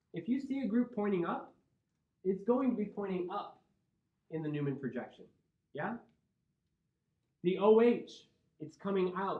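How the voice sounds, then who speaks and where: Through audible room echo, a man with an American accent speaks at a high pitch and a moderate pace with lively intonation. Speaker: chemistry professor. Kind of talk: lecture.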